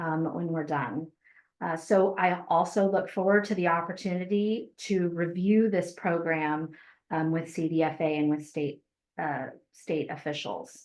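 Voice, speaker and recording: A woman with a plain, everyday voice, fairly low pitch, ordinary pitch variation and a fairly slow pace. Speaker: farmer and grant program administrator. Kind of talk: webinar presentation and Q&A.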